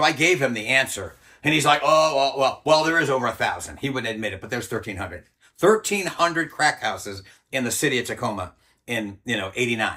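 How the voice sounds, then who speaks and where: Over a quiet background, a man with a medium pitch and a bright, sharp tone talks at a fairly quick pace with lively intonation. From Rhode Island. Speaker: former army ranger; interviewee. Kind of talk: interview storytelling. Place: home room. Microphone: lapel.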